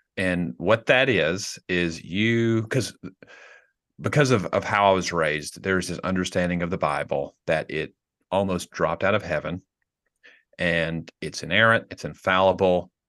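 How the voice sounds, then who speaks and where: With a Tennessee accent, a man speaks at a moderate pace in a very deep, low voice. His pitch varies in an ordinary way over a quiet background. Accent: Southern US (Tennessee). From US South, rural Tennessee. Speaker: pastor. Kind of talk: casual chat.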